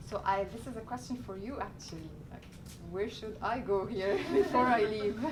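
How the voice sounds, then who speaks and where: Against noticeable background noise and audible room echo, a woman with a fairly high voice speaks at a moderate pace, her loudness swinging widely. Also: ordinary pitch variation. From Egypt. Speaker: graduate student, cultural ambassador. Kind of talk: classroom Q&A talk. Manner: hesitant, many fillers.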